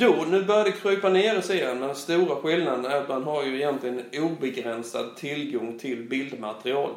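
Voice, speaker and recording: Against noticeable background noise, a man talks at a moderate pace with lively intonation and hardly any pauses. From Blekinge, southern Sweden. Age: 40s. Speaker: football coach and school principal. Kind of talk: interview. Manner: halting.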